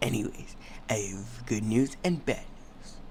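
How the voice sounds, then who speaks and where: Against clear background noise, a man uses a put-on character voice with fairly low pitch at a moderate pace. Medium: machinima. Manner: bossy, commanding.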